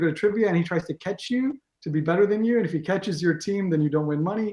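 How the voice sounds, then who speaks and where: A man with an American accent speaks very fast. His pitch is high for a man, with ordinary variation. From Israel. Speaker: games tournament organizer and team captain. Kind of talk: interview. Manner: halting, many fillers and restarts.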